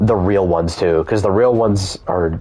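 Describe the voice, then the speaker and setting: Here a man speaks with an American accent at a fairly low pitch. His tone is dark and mellow, and his pace is fairly slow. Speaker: gaming streamer. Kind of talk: casual chat. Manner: animated.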